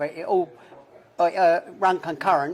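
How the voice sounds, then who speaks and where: Against noticeable background noise, a man with a Cockney accent speaks at a high pitch and a moderate pace. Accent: London Cockney. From London. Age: 70s. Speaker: former armed robber. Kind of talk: casual interview. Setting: in a pub.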